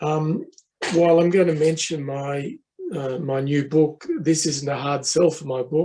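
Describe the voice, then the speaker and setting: This man has a fairly high pitch and fairly even intonation. He talks at a fairly slow pace. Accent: Australian. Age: 70s. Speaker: professor. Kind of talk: conference talk. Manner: hesitant, many fillers.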